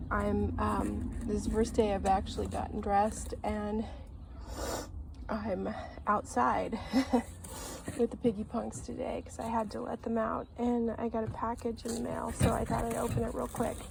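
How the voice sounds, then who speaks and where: Moderate-paced female speech with noticeable background noise. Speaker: doll unboxing youtuber. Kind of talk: casual unboxing vlog. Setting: outdoors. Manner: halting, many fillers.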